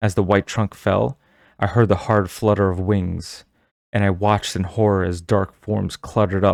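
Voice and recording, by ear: The background stays quiet as the text is read aloud in a natural voice.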